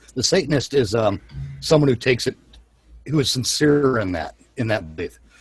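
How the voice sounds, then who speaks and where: A man with lively intonation at a fairly quick pace, music in the background and a dry, close sound with no echo. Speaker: live show host. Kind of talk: casual chat. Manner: halting.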